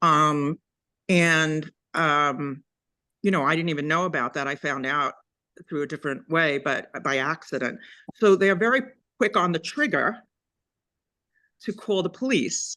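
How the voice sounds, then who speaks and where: The voice has a bright, sharp tone and lively intonation, moving at a moderate pace. Long, frequent pauses fall against a quiet background. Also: woman, very deep, low pitch for a woman. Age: 60s. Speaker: resident raising a complaint. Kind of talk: public meeting testimony.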